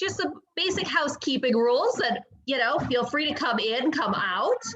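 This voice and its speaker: A woman's raised, projected voice, high in pitch with very wide pitch swings. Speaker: librarian. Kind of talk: event host welcome.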